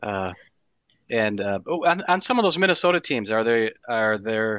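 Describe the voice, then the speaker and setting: A man with an American accent speaks in a plain, everyday voice with lively intonation. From Wisconsin. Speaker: hockey writer. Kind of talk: casual chat. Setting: video call.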